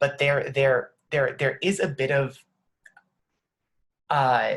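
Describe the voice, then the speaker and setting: A man is speaking. His voice is somewhat breathy. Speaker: nonprofit founder. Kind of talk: video call discussion.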